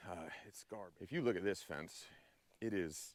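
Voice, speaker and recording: The man's pitch sits fairly low, and his pace is moderate. Pitch rises and falls in an ordinary way. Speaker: farm vlogger. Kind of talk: casual vlog narration. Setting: outdoors. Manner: halting.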